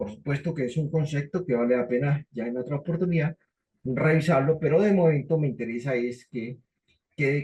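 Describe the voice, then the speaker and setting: A man's somewhat breathy, dark and mellow voice, fairly high in pitch, at a moderate pace with ordinary pitch variation. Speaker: law lecturer. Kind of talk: lecture.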